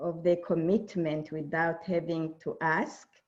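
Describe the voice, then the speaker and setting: A woman with a Burundian accent, at a fairly slow pace. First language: Kirundi. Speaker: diversity and inclusion speaker. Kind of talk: keynote presentation.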